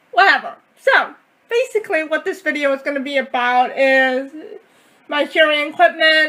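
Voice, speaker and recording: Raising and projecting her voice, a woman speaks at a moderate pace in a high pitch with lively intonation. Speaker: deaf vlogger. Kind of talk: casual vlog. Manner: loud.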